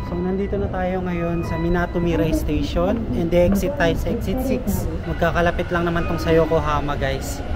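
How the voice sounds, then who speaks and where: A man talking at a fairly quick pace, with audible room echo and noticeable background noise. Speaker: travel vlogger. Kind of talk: walking vlog narration. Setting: outdoors.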